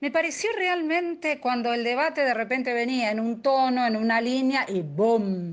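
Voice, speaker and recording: A woman speaks at a high pitch and a moderate pace with lively intonation. The background is quiet. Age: 60s. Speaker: activist. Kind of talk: radio interview.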